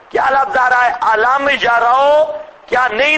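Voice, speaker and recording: A man speaks at a very slow pace with extremely high pitch, and noticeable background noise runs underneath. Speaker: Islamic scholar giving Quran commentary. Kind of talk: religious lecture. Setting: lecture hall with loudspeaker. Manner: animated.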